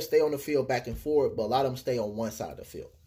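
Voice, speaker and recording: A man with an American accent talks at a very fast pace. His voice is dark, mellow and somewhat breathy, with ordinary pitch variation. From Texas. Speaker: quidditch snitch runner. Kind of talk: casual interview.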